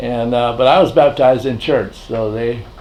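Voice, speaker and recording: Here a man with an American accent talks at a medium pitch and a moderate pace. Audible room echo surrounds his voice. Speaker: family elder recounting history. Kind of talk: oral history interview.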